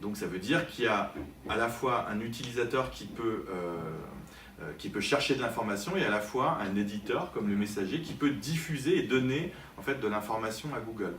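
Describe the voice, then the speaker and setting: A man talks at a medium pitch, with noticeable background noise and audible room echo. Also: lively intonation, moderate pace. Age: 40s. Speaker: digital marketing consultant and trainer. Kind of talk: interview. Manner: hesitant, many fillers.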